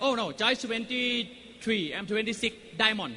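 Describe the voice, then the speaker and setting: A man with a high pitch and ordinary pitch variation uses a raised, projected voice at a very slow pace, with noticeable background noise around him. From Thailand. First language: Thai (speaking Spanish). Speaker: network marketing business owner. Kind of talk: motivational talk. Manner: short phrases paused for interpreter; animated.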